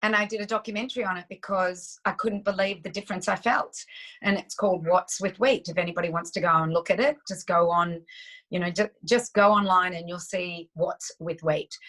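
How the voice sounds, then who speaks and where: A woman with an Australian accent speaks at a fairly quick pace. Her pitch is medium. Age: 60s. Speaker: nutritionist. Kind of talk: interview. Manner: animated.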